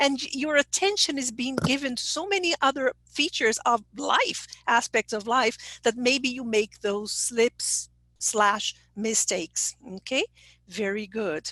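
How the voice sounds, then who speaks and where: Speaking fairly slowly with a Brazilian Portuguese accent, a woman uses a high pitch, lively intonation and a bright, sharp tone, recorded with a dry, close sound and no echo. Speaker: English teacher trainer. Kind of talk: online conference presentation.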